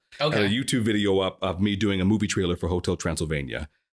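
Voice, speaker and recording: On a very clean recording with a silent background, a man with an American accent talks in a fairly low voice. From Arizona. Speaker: voice actor. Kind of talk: interview answer.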